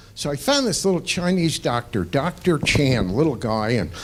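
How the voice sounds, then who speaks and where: Noticeable background noise sits behind a man with a fairly high pitch. His pitch swings very widely. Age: 60s. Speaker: stand-up comedian. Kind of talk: stand-up. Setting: stage with audience.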